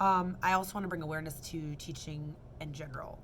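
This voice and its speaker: A woman's very deep, low voice with fairly even intonation and audible room echo. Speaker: kindergarten and preschool teacher. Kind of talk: casual vlog monologue. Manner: fast; rambling with fillers and self-corrections.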